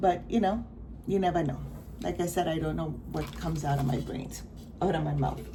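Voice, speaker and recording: The speech is mumbled, broken by long, frequent pauses. Audible room echo and noticeable background noise fill the recording. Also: woman. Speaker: crafting vlogger. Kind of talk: casual chat. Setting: at home, not usual spot. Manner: mumbling; rambling, halting.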